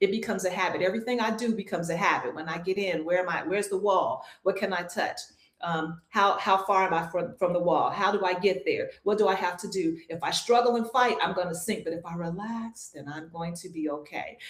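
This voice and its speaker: Against noticeable background noise, a woman talks fairly quickly with hardly any pauses and ordinary pitch variation. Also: medium pitch for a woman. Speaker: swim instructor and retired military. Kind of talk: interview. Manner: calm, not loud.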